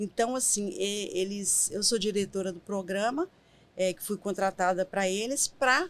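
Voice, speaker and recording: This is a plain, everyday voice moving at a fairly slow pace. The pitch varies in an ordinary way while the loudness swings widely. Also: woman, medium pitch for a woman. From Brazil, Minas Gerais (Caratinga). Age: 50s. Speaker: writer and nonprofit program director. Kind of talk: podcast interview.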